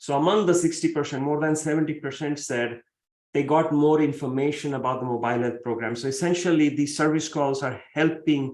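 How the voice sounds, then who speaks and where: The man's intonation is fairly even. His pace is fairly quick. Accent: Marathi. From India, Mumbai. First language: Marathi. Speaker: professor. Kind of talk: keynote lecture.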